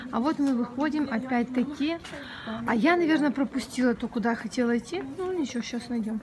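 A woman's high voice at a fairly quick pace over noticeable background noise. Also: ordinary pitch variation. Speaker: travel vlogger. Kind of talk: casual vlog chat. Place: street. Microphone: phone near.

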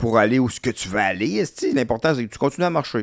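Lively intonation at a fairly quick pace against a quiet background. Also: man. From Quebec. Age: 50s. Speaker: comedian. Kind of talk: casual chat. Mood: relaxed, candid, humorous. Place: studio. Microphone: studio mic.

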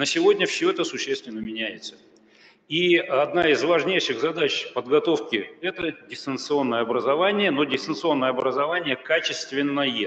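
Delivered at a moderate pace, an unremarkable speaking voice shows ordinary pitch variation. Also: man, fairly high pitch for a man. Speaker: university rector. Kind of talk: conference presentation.

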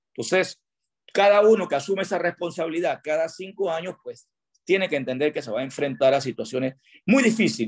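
Against a quiet background, a man speaks fairly quickly with a high pitch and lively intonation. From Panama, Pedasí (Los Santos); Panama. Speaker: tourism industry chamber president. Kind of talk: radio interview. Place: home room. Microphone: video call.

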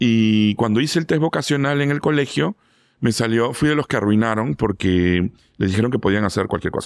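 A man speaks at a fairly quick pace with lively intonation. The sound is dry with no echo against a quiet background. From Lima, Peru. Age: 40s. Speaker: food critic; interview guest. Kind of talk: interview. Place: studio. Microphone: studio mic.

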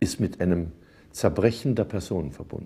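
A man's voice is dark and mellow in tone and somewhat breathy. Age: 70s. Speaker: composer, singer, entertainer. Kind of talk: interview answer. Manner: thoughtful, humorous. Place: cafe. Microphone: lapel.

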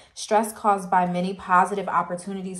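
Noticeable noise in the background accompanies a woman's fairly quick speech. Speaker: tarot reader. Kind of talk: casual tarot reading chat. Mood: upbeat, laughing. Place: home room. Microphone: phone near.

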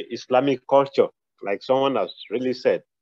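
Over a quiet background, a man with a fairly high pitch speaks at a moderate pace, the sound dry with no echo. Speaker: student, radiographer; radiographer. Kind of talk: class discussion. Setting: video call with camera off, at work. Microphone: video call.

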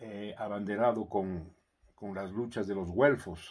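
Against a quiet background, a man speaks at a very slow pace in a fairly low pitch. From Ecuador. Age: 70s. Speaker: commentator; commentator on philosophy. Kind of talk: editorial commentary; reflective monologue commentary. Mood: calm, earnest, reflective. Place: home room. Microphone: phone near.

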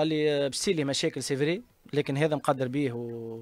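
Dry and close with no echo, this is a man in a plain, everyday voice. His pitch is fairly high, with ordinary pitch variation. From Tunisia, Ben Arous. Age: 30s. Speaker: footballer. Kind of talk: casual chat.

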